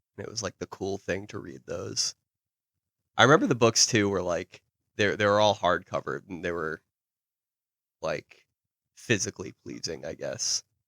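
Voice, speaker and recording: A quiet man with a fairly low voice speaks at a moderate pace, with long, frequent pauses and big swings in loudness, in a dry, close sound with no echo on a very clean recording with a silent background. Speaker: podcast co-host. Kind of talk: casual chat.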